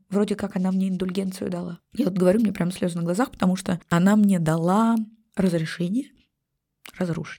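A woman's somewhat breathy, dark, mellow voice at medium pitch, fairly quick in pace, with ordinary pitch variation. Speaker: genealogy and family-history psychologist. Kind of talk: emotional podcast interview.

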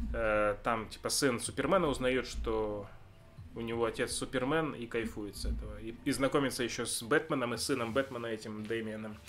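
Music in the background and a man speaking at a moderate pace, with ordinary pitch variation. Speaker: podcast co-host. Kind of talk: casual chat. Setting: indoor room with fireplace, in person.

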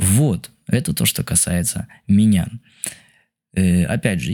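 A man speaks in a dark, mellow tone. His pitch is fairly low. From Israel. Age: 20s. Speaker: travel podcaster. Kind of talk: unscripted monologue. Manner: halting.

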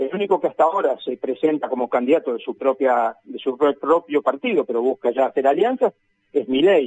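An ordinary speaking voice with lively intonation, moving at a fairly quick pace. The sound is dry and close, with no echo. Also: man. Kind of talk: radio interview.

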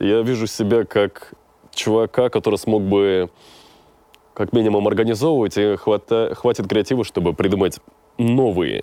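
A man's fairly low, dark, mellow voice with ordinary pitch variation at a very slow pace. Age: 20s. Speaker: rapper and voice-over announcer. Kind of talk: casual interview chat.

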